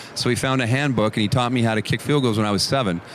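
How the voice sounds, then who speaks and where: Speaking at a very fast pace with fairly even intonation, a man is heard against noticeable background noise. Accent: Canadian. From Canada. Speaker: former football punter. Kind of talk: casual chat. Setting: radio row at the Super Bowl.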